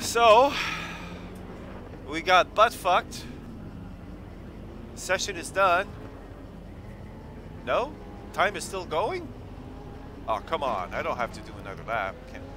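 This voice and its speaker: A man with a high pitch speaks at a very slow pace, taking long, frequent pauses and making very wide swings in pitch. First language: French. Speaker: sim racing streamer. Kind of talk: live gameplay commentary. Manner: animated.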